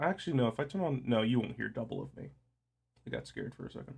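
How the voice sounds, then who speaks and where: Music plays in the background. The voice's pitch swings very widely. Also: man. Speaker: live streamer. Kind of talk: casual chat. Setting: live stream.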